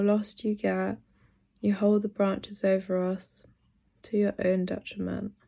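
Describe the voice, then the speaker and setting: Over a quiet background, the speaker talks at a fairly slow pace with a London accent, a dark, mellow tone and monotone, flat intonation. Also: woman. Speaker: poet. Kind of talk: interview with poetry reading.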